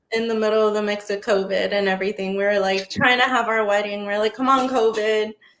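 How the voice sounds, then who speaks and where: A woman's monotone, flat delivery at a very fast pace with hardly any pauses. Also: fairly high pitch for a woman. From Texas, San Antonio. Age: 20s. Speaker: marketing business owner. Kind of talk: casual chat.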